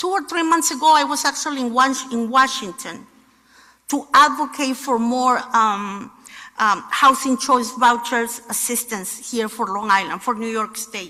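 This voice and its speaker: A woman with a non-native accent speaks in a raised, projected voice at a high pitch, using lively intonation at a fairly slow pace. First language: not English. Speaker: housing nonprofit leader. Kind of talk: speech. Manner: halting.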